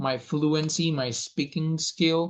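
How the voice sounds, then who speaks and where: Delivery comes in a Spanish accent. Words are spaced at a fairly slow pace. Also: man, quiet background. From Venezuela. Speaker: language coach. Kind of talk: self-introduction monologue. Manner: hesitant with fillers.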